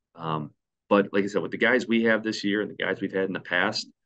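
Here a man talks in a bright, sharp tone with ordinary pitch variation. The background is quiet. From Indiana, US Midwest. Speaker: high school basketball coach. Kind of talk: casual interview. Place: office.

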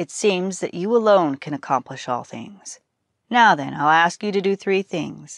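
A quiet background behind text read aloud plainly

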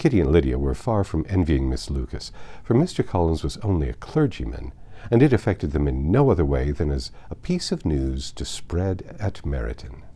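Lively intonation colors a man's very deep, low voice at a moderate pace. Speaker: audiobook narrator. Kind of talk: literary audiobook reading aloud, polished scripted narration of a classic novel. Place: home room.

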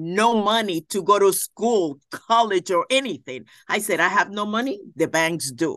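A woman speaks in a Puerto Rican accent at a moderate pace, with lively intonation and hardly any pauses. The sound is dry with no echo over a quiet background. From Puerto Rico. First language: Spanish. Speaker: judge. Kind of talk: interview. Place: office. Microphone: video call.

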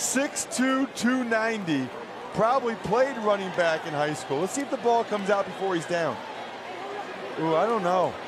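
Against noticeable background noise, a man with a high pitch and lively intonation speaks at a fairly slow pace. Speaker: color commentator. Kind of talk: live sports commentary, analytical color talk between plays. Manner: conversational, explanatory, occasionally surprised and musing aloud.

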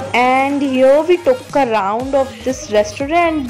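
Music plays in the background as a woman speaks in a high pitch. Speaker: vlogger. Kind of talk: casual vlog narration.

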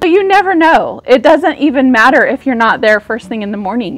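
A woman speaks in a high pitch with faint music in the background. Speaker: vlogger. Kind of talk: casual vlog chat. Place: street. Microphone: lapel.

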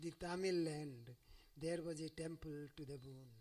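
There is a quiet background. Over it, a man speaks at a moderate pace. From India. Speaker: scholar and professor; professor. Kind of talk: lecture. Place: hall. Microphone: podium.

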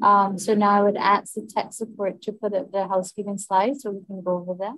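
A woman against a quiet background, the sound dry with no echo. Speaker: session host. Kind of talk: meeting moderation. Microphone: video call.

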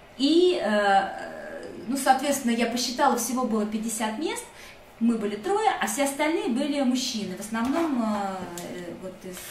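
A woman with a high pitch and lively intonation talks amid audible room echo and light background noise, leaving long, frequent pauses. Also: moderate pace. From Russia. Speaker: refugee and former rights activist. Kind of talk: personal testimony. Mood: calm, reflective. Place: home room. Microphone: webcam.

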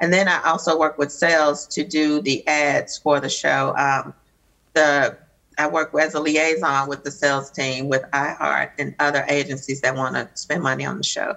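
With a Southern US accent, a woman speaks at a very deep, low pitch with fairly even intonation and vocal fry against a quiet background. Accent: Southern US drawl. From US South. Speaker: radio executive producer. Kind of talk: panel interview. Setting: video call. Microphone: video call.

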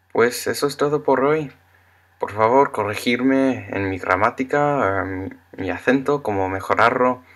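A man with an English accent speaks fairly slowly, with ordinary pitch variation. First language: English (speaking Spanish). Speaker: Spanish learner vlogger. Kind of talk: casual vlog monologue. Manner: halting. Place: home room. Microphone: webcam.

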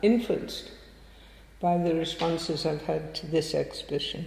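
Here a woman speaks at a fairly low pitch. Noticeable background noise runs underneath. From northeast England. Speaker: artist and art teacher. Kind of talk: public conversation. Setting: stage with audience at a museum.

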